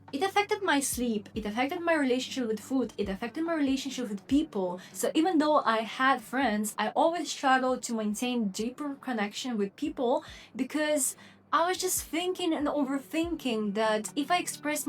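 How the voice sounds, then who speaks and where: A woman's high-pitched voice in a non-native accent, with lively intonation and hardly any pauses. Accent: foreign accent in English. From Lithuania, Polish-Russian mixed family. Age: 20s. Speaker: vlogger. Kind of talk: personal vlog monologue.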